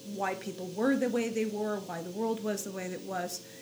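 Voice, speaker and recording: Amid noticeable background noise and audible room echo, a woman of medium pitch speaks at a moderate pace with fairly even intonation. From New York (Queens and Long Island). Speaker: blogger and religious community volunteer. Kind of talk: interview conversation. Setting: small room, closet-like space.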